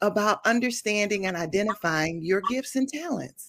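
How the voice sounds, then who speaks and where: On a very clean recording with a silent background, a woman speaks in a plain, everyday voice with ordinary pitch variation. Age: 50s. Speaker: minister and consultant. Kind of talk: interview.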